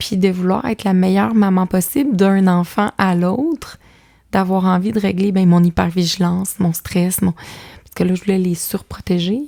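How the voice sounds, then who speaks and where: Speaking at a moderate pace, a woman with a medium pitch and a dark, mellow tone shows ordinary pitch variation. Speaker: author and mother of five. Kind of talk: podcast interview. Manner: loud; animated.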